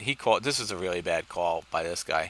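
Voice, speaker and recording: A man with a fairly low pitch and a bright, sharp tone speaks at a moderate pace. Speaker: poker vlogger. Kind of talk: live gameplay commentary. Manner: low-energy, flat.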